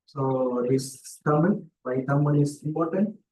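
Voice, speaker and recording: A man speaks with a fairly high pitch. His tone is dark and mellow, and somewhat breathy. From South India, Kerala. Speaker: research scholar. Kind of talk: seminar talk. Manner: halting, with repetitions.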